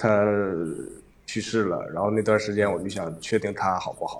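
At a moderate pace, a man talks in a fairly low voice with fairly even intonation. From Northeast China, Shenyang. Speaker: livestream caller with depression. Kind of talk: casual chat, personal confiding. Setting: livestream voice link.

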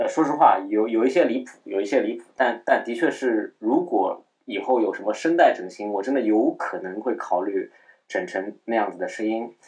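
A man talks at a medium speed, his volume rising and falling sharply. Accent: slight Shanghai. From Shanghai, China. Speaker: podcast host. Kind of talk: casual solo chat. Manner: hesitant, many fillers; slightly lowered, held-down voice.

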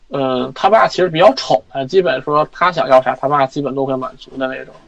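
Noticeable background noise fills the recording. A man speaks through it at a moderate pace. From Inner Mongolia, China. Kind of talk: personal story in consultation. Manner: halting.

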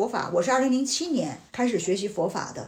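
Over noticeable background noise, a woman with a high pitch and lively intonation talks at a very fast pace. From Tianjin, China. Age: 40s. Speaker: insurance agent, former media professional. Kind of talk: casual chat.

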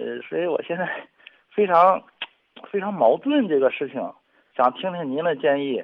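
Long, frequent pauses break up a man's speech. His pace is moderate between them. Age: 40s. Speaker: caller. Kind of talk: personal testimony on call-in radio.

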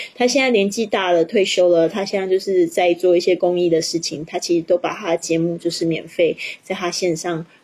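A woman with a slight non-native accent and fairly low pitch, at a fairly quick pace with hardly any pauses and fairly even intonation, over noticeable background noise. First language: not English (Chinese) (speaking Chinese). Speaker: English teacher and podcaster. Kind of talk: livestream teaching chat. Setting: livestream.

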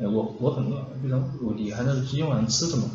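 Amid audible room echo, a man speaks at a very fast pace. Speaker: app developer. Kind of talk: casual chat.

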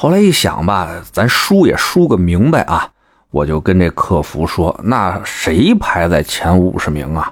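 A man with a slight Beijing accent talks at a fairly slow pace. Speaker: online commentary host. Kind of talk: casual monologue. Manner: animated.

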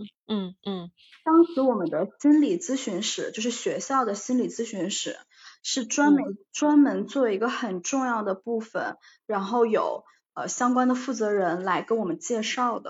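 In a plain, everyday voice, a woman talks at a fairly slow pace with a fairly high pitch and lively intonation. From China. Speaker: life coach. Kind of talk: casual interview.

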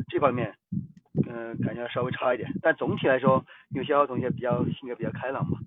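Here is a man with a plain, everyday voice at medium pitch. He talks at a fairly quick pace with fairly even intonation. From Guizhou, China. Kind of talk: casual chat.

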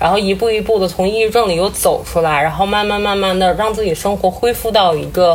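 A woman's medium-pitched voice, fairly quick and fairly even in intonation, over noticeable background noise. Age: 30s. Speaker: breast cancer survivor. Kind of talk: casual chat. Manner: crying.

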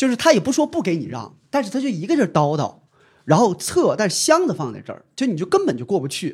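A man talks very fast in a high pitch, with very wide pitch swings and big swings in loudness. The recording is very clean, with a silent background. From Dandong, Liaoning, northeast China. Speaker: ride-hailing company employee. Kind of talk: casual chat.

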